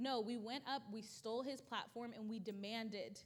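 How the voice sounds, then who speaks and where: A woman's fairly high pitch and fairly even intonation, with audible room echo. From Louisiana, then Washington State from high school. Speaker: activist. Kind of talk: interview in church service. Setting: church stage with audience.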